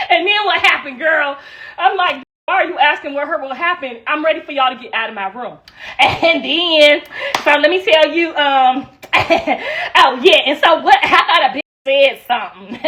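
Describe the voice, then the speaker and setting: A woman speaks in a high pitch with lively intonation and an animated tone. Her voice is raised and projected, with big swings in loudness. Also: moderate pace. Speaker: livestreamer. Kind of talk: livestream chat.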